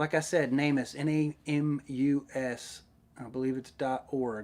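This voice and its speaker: In a Southern US accent, a man talks at a fairly high pitch and a fairly slow pace. His intonation is monotone and flat, on a very clean recording with a silent background. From Middle Tennessee, US South. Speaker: YouTuber, underwater search diver. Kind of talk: live stream Q&A chat. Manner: casual, hesitant with many fillers.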